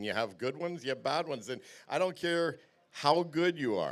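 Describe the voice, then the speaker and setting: With vocal fry and a Canadian accent, a man speaks at a moderate pace in a very clean recording with a silent background. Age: 60s. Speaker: tournament angler. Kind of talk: weigh-in interview. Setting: stage with audience.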